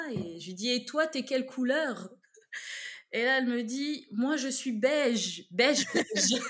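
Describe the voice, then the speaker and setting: A woman speaks in a high pitch with ordinary pitch variation. Her pace is very slow. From eastern France (Besançon). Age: 30s. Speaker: podcast guest. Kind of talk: casual chat.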